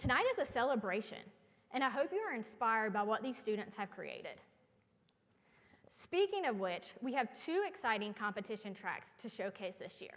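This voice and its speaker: A woman with a North Carolina accent at a moderate pace, her fairly high pitch shaped by lively intonation. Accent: Southern (North Carolina). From North Carolina, US South. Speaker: event emcee. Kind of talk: ceremony emcee speech. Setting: stage with audience. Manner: formal.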